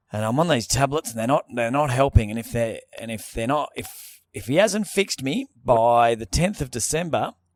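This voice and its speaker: Someone with an Australian accent talks at a moderate pace, with lively intonation, big swings in loudness and hardly any pauses. The recording is very clean, with a silent background and a dry, close sound with no echo. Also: man, medium pitch for a man. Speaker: comedy podcast co-host. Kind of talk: casual chat. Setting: corner of a showroom on a couch. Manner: mumbling.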